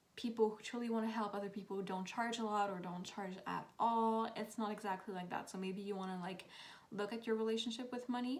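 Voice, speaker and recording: Audible room echo surrounds a woman talking at a medium pitch with fairly even intonation. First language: not English. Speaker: tarot reader. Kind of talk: tarot reading monologue.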